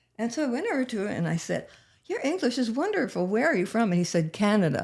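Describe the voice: A woman speaks at a fast pace with big pitch swings and a slightly husky edge. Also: fairly high pitch for a woman.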